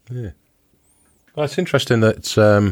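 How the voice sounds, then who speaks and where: On a very clean recording with a silent background, a man with a British accent is heard with a dry, close sound and no echo. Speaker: scuba diving podcast host. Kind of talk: casual interview chat.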